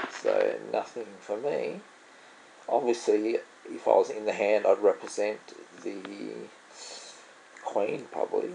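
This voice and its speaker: Speaking with an Australian accent, a man moves at a very slow pace with long, frequent pauses. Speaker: poker vlogger. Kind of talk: gameplay commentary. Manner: casual thinking aloud.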